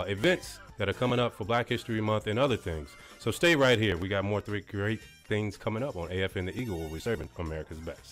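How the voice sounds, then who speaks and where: Over clear background music, a man races along at a very fast pace, his fairly low voice lively in intonation. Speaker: radio DJ and military broadcaster. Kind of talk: radio DJ segment transitions and promos. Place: booth. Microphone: studio mic.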